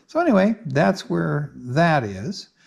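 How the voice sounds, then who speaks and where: A man speaks with very wide swings in pitch and a somewhat breathy sound. The background is quiet. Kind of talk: casual vlog chat. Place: home room. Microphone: phone near.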